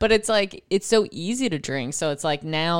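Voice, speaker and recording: On a very clean recording with a silent background, a woman with an American accent talks at a moderate pace in a very deep, low pitch with lively intonation. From Buffalo, New York. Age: 30s. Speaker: comedian. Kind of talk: casual chat.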